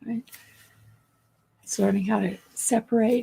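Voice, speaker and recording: A woman speaks fairly quickly in a somewhat breathy, dark, mellow voice with a fairly high pitch. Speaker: trauma healing teacher. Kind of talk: live stream chat with viewers. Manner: warm, affectionate.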